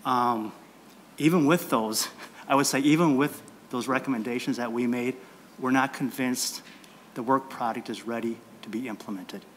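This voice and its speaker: A man with a medium-pitched voice speaks at a moderate pace, leaving long, frequent pauses. His intonation stays fairly even over light background noise. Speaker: industry lobbyist. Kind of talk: legislative testimony. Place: meeting room. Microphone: podium.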